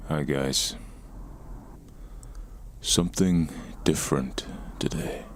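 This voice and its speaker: A man at a very slow pace, relaxed in tone, with long, frequent pauses. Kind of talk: ASMR gameplay commentary, casual talk. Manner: relaxed, conversational.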